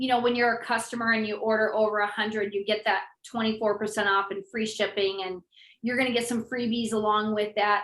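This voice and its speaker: Her voice is fairly high, and this woman talks at a fairly quick pace in a monotone, flat intonation. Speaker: essential oils educator and seller. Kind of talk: live online class. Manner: fast; casual, conversational.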